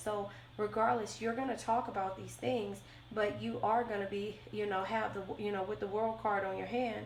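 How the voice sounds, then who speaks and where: A woman speaks at a moderate pace. There is noticeable background noise and audible room echo. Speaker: tarot reader. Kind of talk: tarot reading. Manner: halting, many fillers.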